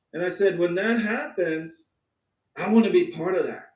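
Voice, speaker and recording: The background is quiet. Room echo can be heard. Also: man. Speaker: crypto company founder. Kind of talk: online presentation. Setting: video call. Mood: enthusiastic, storytelling. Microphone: video call.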